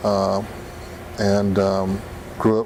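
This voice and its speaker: Speaking with an American accent, a man has a fairly low pitch. There is audible room echo and noticeable background noise. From Gila River Indian Community, Arizona. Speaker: former student activist. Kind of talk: interview testimony. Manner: halting.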